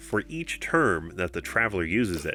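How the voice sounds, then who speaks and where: Background music is playing. The man's pitch swings very widely. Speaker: tabletop game rules tutorial host. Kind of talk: tutorial narration.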